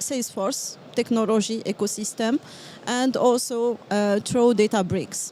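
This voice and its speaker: Music plays in the background as a woman speaks in a fairly high pitch with fairly even intonation. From Morocco. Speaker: business development manager. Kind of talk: interview. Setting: live at a trade event. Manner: halting, many fillers.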